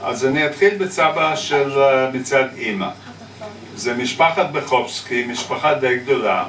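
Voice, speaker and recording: Over noticeable background noise, a man talks at a very slow pace in a fairly high voice with ordinary pitch variation. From China. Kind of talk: family history storytelling on a roots tour.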